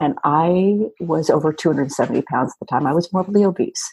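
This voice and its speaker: A woman speaks at a fairly slow pace in a fairly low pitch, with ordinary pitch variation. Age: 50s. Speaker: dog fitness franchise founder. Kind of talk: interview.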